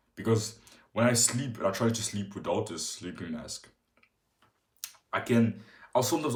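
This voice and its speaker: A somewhat breathy man at a fairly low pitch and a fairly quick pace. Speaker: fitness vlogger. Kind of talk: casual vlog tutorial. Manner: halting.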